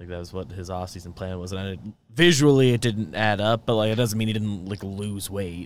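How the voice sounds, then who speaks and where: A man with an unremarkable speaking voice talks at a fairly quick pace in a fairly low pitch, with ordinary pitch variation and hardly any pauses. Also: big swings in loudness. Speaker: co-host sports commentator. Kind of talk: casual sports chat, live stream. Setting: live stream.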